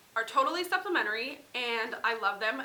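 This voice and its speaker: With an American accent, a woman speaks at a fairly high pitch amid audible room echo and noticeable background noise. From US Midwest, central Wisconsin. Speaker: parenting vlogger. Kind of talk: casual haul vlog.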